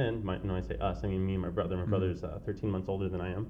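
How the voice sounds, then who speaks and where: A man with an American accent talks at a fairly low pitch. Audible room echo is present. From San Diego, California. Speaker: podcast guest. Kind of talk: casual interview.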